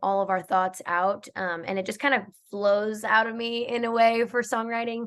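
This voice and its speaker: Against a quiet background, a woman with a plain, everyday voice and an American accent speaks at a moderate pace with fairly even intonation. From Georgia, USA. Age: 20s. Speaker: country music singer. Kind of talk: interview answer.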